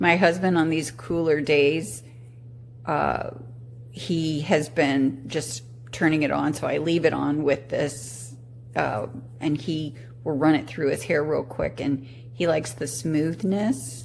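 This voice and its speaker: With long, frequent pauses, a woman speaks at a very slow pace in a very deep, low voice with ordinary pitch variation, amid audible room echo and noticeable background noise. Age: 60s. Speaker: product reviewer. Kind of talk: casual product review. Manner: halting.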